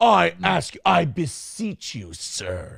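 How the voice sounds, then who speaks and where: A man puts on a raspy character voice at medium pitch, speaking at a very slow pace. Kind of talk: archaic, formal. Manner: grand, dramatic.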